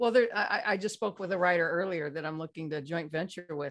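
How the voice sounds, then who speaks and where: Against a quiet background, an ordinary speaking voice with an American accent moves through ordinary pitch variation. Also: woman. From California. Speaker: slide presentation designer. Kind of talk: casual chat.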